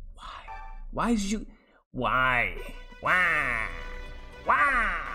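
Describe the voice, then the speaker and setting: A put-on character voice at a fairly high pitch plays over faint music in the background. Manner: complaining, drawn-out.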